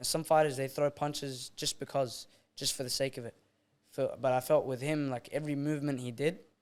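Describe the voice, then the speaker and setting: The speech has an Australian accent and a monotone, flat intonation at a fairly quick pace. The recording is very clean, with a silent background. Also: man, fairly high pitch for a man. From Australia, Eritrean family. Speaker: amateur boxer. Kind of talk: casual interview chat.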